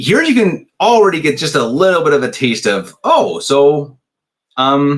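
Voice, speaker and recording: A man with an American accent speaks in a fairly high pitch with vocal fry. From US, Colorado. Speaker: commentator. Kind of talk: casual commentary. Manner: hesitant, many fillers.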